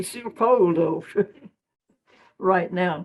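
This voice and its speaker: A woman's lively intonation at a very slow pace. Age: 90s. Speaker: senior living resident. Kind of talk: casual chat. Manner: halting.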